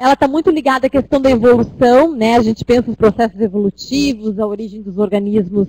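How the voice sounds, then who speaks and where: Dry and close with no echo, a woman's voice has a fairly high pitch, a dark, mellow tone, ordinary pitch variation and a fairly quick pace. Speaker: teacher. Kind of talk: lecture. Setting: web conference class.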